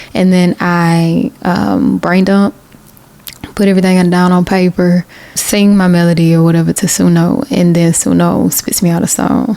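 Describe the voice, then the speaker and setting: A woman with a Southern US accent talks at a fairly low pitch and moderate pace, with ordinary pitch variation, very even loudness and noticeable background noise. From US South, Macon, Georgia. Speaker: independent singer-songwriter, video creator. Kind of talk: casual vlog talk.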